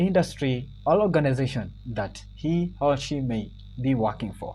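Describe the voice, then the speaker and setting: A man keeps a moderate pace while music sounds in the background. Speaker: computer skills instructor. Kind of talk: tutorial. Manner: loud and clear; halting, with many fillers.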